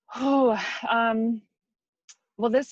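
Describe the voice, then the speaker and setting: A woman speaks with a Midwestern US accent at a fairly high pitch. The sound is dry and close, with no echo. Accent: US Midwest. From Michigan, near Detroit. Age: 30s. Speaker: wig designer and makeup artist. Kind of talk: interview.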